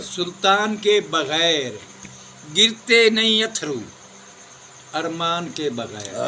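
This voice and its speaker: The voice swings very widely in pitch. Noticeable background noise runs underneath. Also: man, high pitch for a man. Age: old. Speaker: poet. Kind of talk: poetry reading. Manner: soulful.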